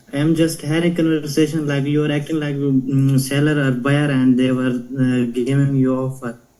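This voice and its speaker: Audible room echo surrounds a man whose fairly high, dark, mellow voice stays monotone and flat. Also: moderate pace. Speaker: virtual assistant. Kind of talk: team training call. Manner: halting.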